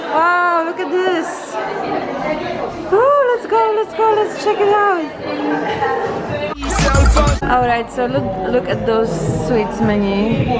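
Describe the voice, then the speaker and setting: Over loud background music, a woman speaks at a very slow pace with long, frequent pauses. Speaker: vlogger. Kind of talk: casual vlog chat. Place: cafe. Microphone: phone near.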